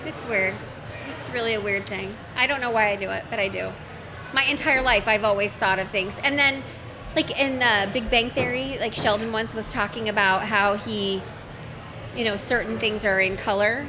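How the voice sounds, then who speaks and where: Over noticeable background noise, a woman talks with a fairly high pitch. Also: moderate pace. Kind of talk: casual chat among friends. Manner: loud, animated, big gestures.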